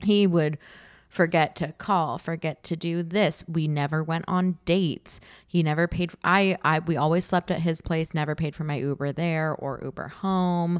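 In a very clean recording with a silent background, a woman with an American accent talks at a moderate pace, her fairly low voice keeping a fairly even intonation. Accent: East Coast vibe. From California (Santa Monica), boarding school in Massachusetts from 14. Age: 20s. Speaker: comedian. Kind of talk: casual chat.

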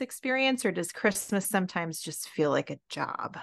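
A woman talks at a moderate pace with lively intonation in a normal speaking voice. The background is quiet. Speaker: podcast host. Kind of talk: casual interview chat.

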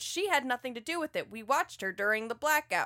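With very wide pitch swings and a high pitch, a woman projects a bright, sharp voice at a fairly quick pace in a dry, close sound with no echo. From US South. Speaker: comic book podcast host. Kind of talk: casual chat.

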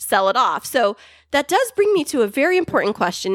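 A woman speaks in an animated tone. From California. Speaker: podcast co-host. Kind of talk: casual chat. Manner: animated, teasing.

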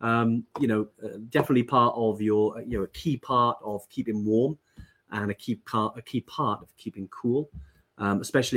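Talking fairly quickly in a normal speaking voice, a man keeps his pitch medium and its variation ordinary. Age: 40s. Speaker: trekking company host. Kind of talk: casual chat.

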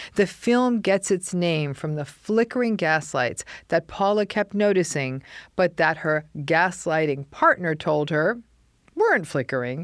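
In a plain, everyday voice, a woman talks at a fairly slow pace with a fairly low pitch and lively intonation. The recording is very clean with a silent background. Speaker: podcast host and psychologist. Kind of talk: casual interview chat.

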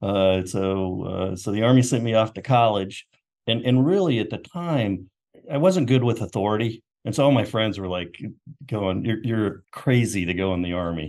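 A man with an American accent has an ordinary speaking voice, speaking at a fairly low pitch and a moderate pace with lively intonation. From US South, Knoxville, Tennessee. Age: 60s. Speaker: marketing executive. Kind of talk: interview.

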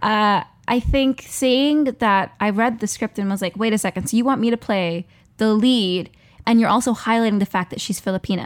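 A woman speaks in a plain, everyday voice at a fairly high pitch and a moderate pace, with ordinary pitch variation. The very clean recording has a silent background and a dry, close sound with no echo. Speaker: actor and performer. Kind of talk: casual chat.

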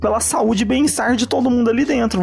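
A man speaks at an extremely high pitch. Background noise is noticeable. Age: 20s. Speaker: chef. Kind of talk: casual chat.

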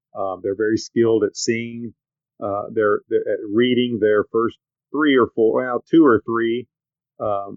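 Fairly slowly and with fairly even intonation, a man speaks in an unremarkable speaking voice at medium pitch, with an American accent. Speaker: sports broadcaster. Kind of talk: casual podcast interview. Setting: video call.

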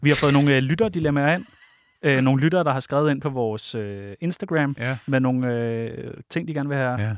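Against a quiet background, a man speaks at a moderate pace in a fairly high pitch with ordinary pitch variation. The sound is dry and close, with no echo. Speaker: co-host, panel host. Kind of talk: casual panel show.

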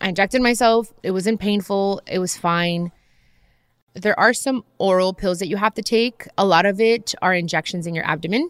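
Dry and close with no echo, this very clean recording has a silent background. A woman uses an ordinary speaking voice at medium pitch, with ordinary pitch variation and a moderate pace. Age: 30s. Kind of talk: casual chat.

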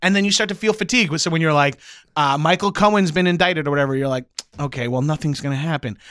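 On a very clean recording with a silent background, a man with an American accent talks very fast in a fairly high pitch with ordinary pitch variation. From Long Island, New York (Freeport). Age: 30s. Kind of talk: casual chat.

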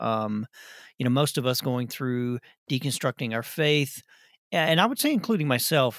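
Dry and close with no echo, a man's medium-pitched voice with a Southern US accent carries lively intonation on a very clean recording with a silent background. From Arkansas. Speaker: podcast co-host. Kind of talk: casual chat.

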